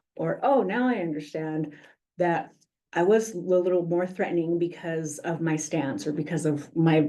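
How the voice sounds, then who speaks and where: A woman's dark, mellow voice sits at a fairly low pitch, with audible room echo around it. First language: Spanish. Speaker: police community outreach coordinator. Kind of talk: presentation at a public meeting. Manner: frequent 'um' fillers.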